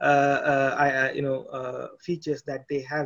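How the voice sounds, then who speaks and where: Monotone, flat delivery from a man with a Tamil accent, his pitch fairly high. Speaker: podcast host. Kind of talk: interview. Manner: halting.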